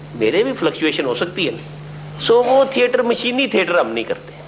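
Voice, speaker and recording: A man's voice against noticeable background noise. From Lahore, Pakistan. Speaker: stage actor and comedian. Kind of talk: interview answer.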